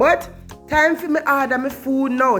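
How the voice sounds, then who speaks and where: With a Jamaican accent, a woman speaks at a moderate pace with ordinary pitch variation over music in the background. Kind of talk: casual vlog narration.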